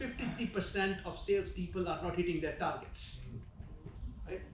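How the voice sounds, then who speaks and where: A man talks fairly quickly, with audible room echo and noticeable noise in the background. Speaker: business school professor. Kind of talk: conference presentation. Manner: conversational, filler-heavy.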